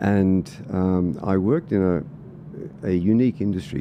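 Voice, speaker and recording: A man speaks with an Australian accent. His tone is dark and mellow, with ordinary pitch variation. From Australia (Sydney and country Victoria). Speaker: political candidate and former soldier. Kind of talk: podcast interview.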